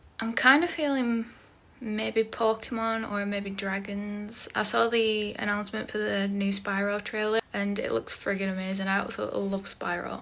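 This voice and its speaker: At a moderate pace, a woman with a British accent speaks with fairly even intonation. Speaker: artist and video creator. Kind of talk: casual talk-along drawing vlog. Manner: casual, filler words.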